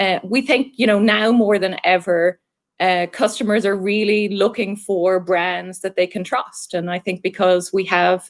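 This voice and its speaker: A woman's medium-pitched voice with an Irish accent, fairly even intonation and a moderate pace. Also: very clean recording, silent background. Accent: Irish, still fairly decent. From Ireland. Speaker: marketing executive. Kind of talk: interview.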